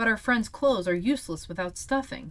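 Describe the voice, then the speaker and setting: A put-on character voice that sounds female. It moves at a fairly quick pace with fairly high pitch. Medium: read story. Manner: kind, gentle.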